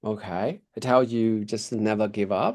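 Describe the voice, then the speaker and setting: A man speaks at a fairly slow pace in a medium pitch, his tone dark and mellow against a quiet background. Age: 40s. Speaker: English tutor. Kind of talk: online English lesson. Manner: halting, many fillers.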